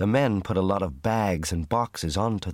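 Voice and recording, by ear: Someone reads aloud in a natural voice with ordinary pitch variation.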